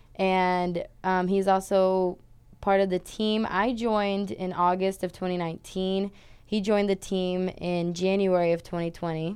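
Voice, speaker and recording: A woman with a Portuguese accent, monotone and flat, at a very slow pace. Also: medium pitch for a woman, quiet background. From Brazil, São Paulo. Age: 20s. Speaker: college swimmer. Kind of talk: casual interview chat.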